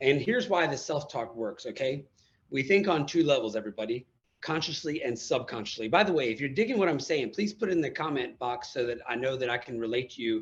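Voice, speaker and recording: Talking at a very fast pace, a man with an American accent has a medium-pitched, somewhat breathy voice. His intonation is lively. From USA. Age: 40s. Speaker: motivational speaker and coach, former marine. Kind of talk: interview. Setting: live video call. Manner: enthusiastic.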